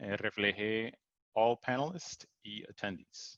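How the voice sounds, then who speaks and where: Very slowly, a man with an English accent speaks in a bright, sharp tone, the sound dry and close with no echo against a quiet background. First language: English (speaking Spanish). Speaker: technical support engineer, presenter. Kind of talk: webinar presentation. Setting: Zoom webinar. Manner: halting, many fillers.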